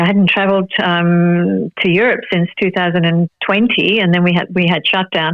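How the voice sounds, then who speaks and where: In an Australian accent, the woman talks at a medium pitch. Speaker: actress and Pilates teacher. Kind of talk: interview.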